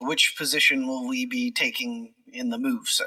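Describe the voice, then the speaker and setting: This is a raspy, put-on character voice. It moves at a moderate pace. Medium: actual play. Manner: formal, clipped, military courtesy.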